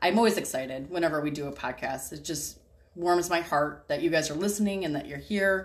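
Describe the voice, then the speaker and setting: A woman speaks at a fairly low pitch. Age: 30s. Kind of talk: casual faith conversation.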